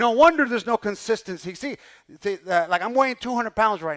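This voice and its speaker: A man's extremely high-pitched voice, bright and sharp in tone, animated, with lively intonation, on a very clean recording with a silent background. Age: 60s. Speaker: pastor. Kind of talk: sermon.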